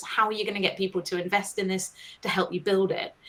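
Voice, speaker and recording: A woman speaks here. Her pitch sits in the middle range. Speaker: science writer and communications agency founder. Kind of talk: webinar presentation. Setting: online live broadcast.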